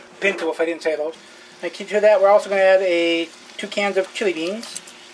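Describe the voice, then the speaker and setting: A man with an American accent speaks at a fairly quick pace in a high voice. His intonation stays fairly even against noticeable background noise. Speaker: DIY channel host. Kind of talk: cooking tutorial. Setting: home kitchen.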